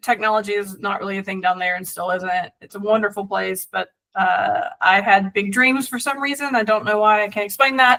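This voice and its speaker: A woman with an American accent talks with hardly any pauses in a medium-pitched voice, using ordinary pitch variation and big swings in loudness. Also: fairly quick pace. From US South, South Georgia. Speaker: venture capitalist. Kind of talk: podcast interview. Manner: many fillers and restarts.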